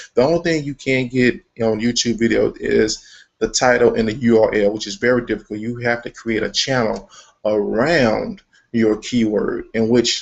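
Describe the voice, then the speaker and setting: A man with an American accent has an unremarkable speaking voice at medium pitch, talking at a moderate pace with ordinary pitch variation. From Texas, Dallas. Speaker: online marketing trainer. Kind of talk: live tutorial webinar. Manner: casual, conversational with fillers.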